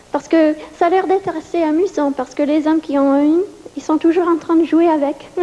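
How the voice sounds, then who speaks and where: A woman with a non-native accent speaks at a high pitch with ordinary pitch variation. Noticeable background noise is audible. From New York. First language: English (speaking French). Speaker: stand-up comedian. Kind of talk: stand-up. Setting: stage with audience.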